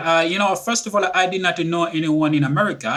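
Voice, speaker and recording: A man with a French accent speaks in a bright, sharp tone with ordinary pitch variation. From Republic of the Congo. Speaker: author and speaker. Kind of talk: interview. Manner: halting, many fillers and repetitions.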